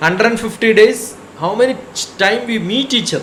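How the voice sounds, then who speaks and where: A man talks in a high pitch with audible room echo. Noticeable background noise runs behind him. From India, Kerala. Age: 60s. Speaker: spiritual speaker, retired scientist. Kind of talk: satsang talk. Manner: conversational, rhetorical questions.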